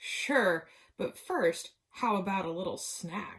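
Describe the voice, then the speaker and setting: A woman puts on a character voice at a medium pitch, speaking at a very slow pace. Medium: read story. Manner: sly, folksy.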